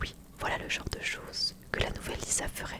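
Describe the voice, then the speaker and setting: A woman whispers at a moderate pace amid noticeable background noise. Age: 20s. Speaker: YouTuber reading a book aloud. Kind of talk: whispered fireside book reading, cozy bedtime-style.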